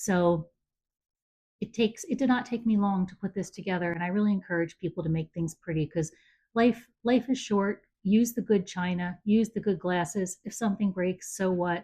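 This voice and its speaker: A woman with an American accent and a somewhat breathy, medium-pitched voice speaks at a moderate pace with ordinary pitch variation on a very clean recording with a silent background. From US. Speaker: home entertaining enthusiast. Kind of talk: casual chat.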